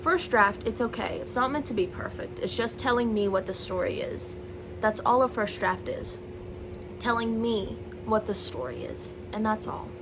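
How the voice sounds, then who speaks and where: Noticeable background noise is present throughout. A woman speaks over it at a moderate pace. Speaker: vlogger and aspiring novelist. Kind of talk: casual vlog chat to camera. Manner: loud.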